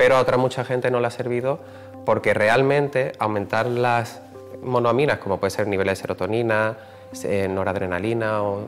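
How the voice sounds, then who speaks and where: Faint music plays behind a man who talks at a fairly quick pace with ordinary pitch variation. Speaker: professor. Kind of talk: interview answer. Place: hall. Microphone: lapel.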